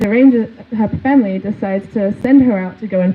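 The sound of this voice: The reading voice is unforced. Its pitch rises and falls in an ordinary way.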